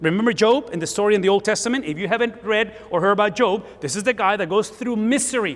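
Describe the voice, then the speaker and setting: A high-pitched man with a Spanish accent at a fairly quick pace, over noticeable background noise. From Spanish-speaking country, came to US at 17. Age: 50s. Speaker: pastor. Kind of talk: sermon.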